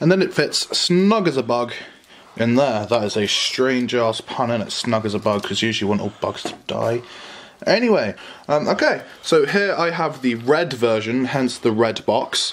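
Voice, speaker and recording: Lively intonation from a man, at a moderate pace. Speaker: YouTuber reviewing a gaming headset. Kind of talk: casual unboxing review. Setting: at home, filmed by a friend. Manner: casual, crude, joking. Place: home room. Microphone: phone near.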